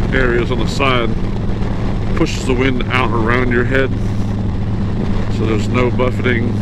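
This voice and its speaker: The speaker talks at a moderate pace. The sound is dry with no echo, over loud background noise. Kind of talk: casual vlog chat. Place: motorbike. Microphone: helmet.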